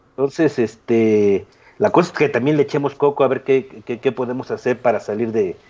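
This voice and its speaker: A man's dark, mellow tone at medium pitch, moderate in pace, with lively intonation. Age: 40s. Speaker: podcast co-host, woodworking YouTuber. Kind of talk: casual chat. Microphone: poor microphone.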